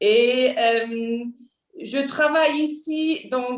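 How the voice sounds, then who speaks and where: Her intonation is lively. This woman's voice sits high in pitch. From Switzerland, Basel. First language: Swiss German (speaking French). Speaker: diplomat. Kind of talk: formal self-introduction at a panel. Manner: halting, many fillers.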